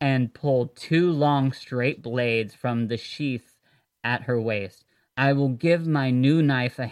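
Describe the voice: Over a quiet background comes plain reading aloud, its pitch varying an ordinary amount.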